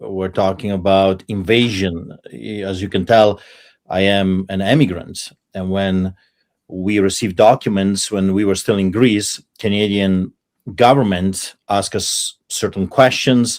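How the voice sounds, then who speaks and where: A man with a Polish accent speaks in a fairly low pitch at a fairly slow pace. His intonation stays fairly even on a very clean recording with a silent background. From Poland. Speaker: pastor. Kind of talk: panel debate.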